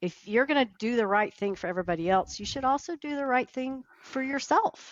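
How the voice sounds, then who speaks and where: With an American accent, a woman speaks at a fairly quick pace in a high voice that makes very wide pitch swings. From Texas. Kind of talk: interview answer.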